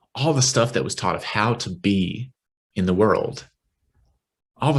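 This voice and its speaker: Male voice at a medium pitch with a West Texas accent, somewhat breathy, at a moderate pace with ordinary pitch variation. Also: long, frequent pauses. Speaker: minister. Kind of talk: sermon. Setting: online worship service.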